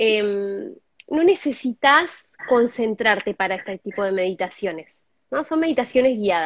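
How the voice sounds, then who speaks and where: With an Argentine accent, a woman speaks at a moderate pace, her pitch swinging very widely. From Argentina, Zapala (Neuquén). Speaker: meditation teacher. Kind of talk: interview explanation.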